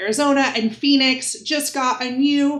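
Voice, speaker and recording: A woman speaks at a high pitch in an animated tone. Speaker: travel influencer coach. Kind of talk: tutorial.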